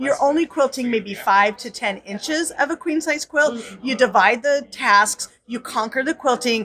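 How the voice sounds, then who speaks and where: Against noticeable background noise, a woman with a high pitch speaks with ordinary pitch variation and hardly any pauses. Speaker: quilting teacher and author. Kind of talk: promotional interview. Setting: convention floor. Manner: fast.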